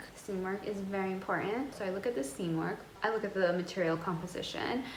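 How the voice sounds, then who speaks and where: Over noticeable background noise and audible room echo, a woman with a medium pitch speaks at a very fast pace. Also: ordinary pitch variation. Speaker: fashion and lifestyle vlogger. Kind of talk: casual vlog talk to camera. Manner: rambling, chatty.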